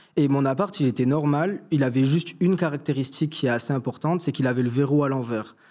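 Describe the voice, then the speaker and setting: Speaking very fast in a fairly high pitch, a man is heard in a very clean recording with a silent background. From southern France, Toulouse area. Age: 20s. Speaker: fashion student, story caller. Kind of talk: personal storytelling on live stream. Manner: casual, hesitant with many fillers.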